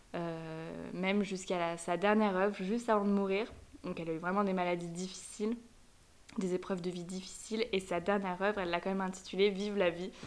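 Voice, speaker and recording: A woman speaks fairly quickly with monotone, flat intonation. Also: medium pitch for a woman. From France, Savoie (Aix-les-Bains). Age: 20s. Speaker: student, host's best friend. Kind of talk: casual interview chat.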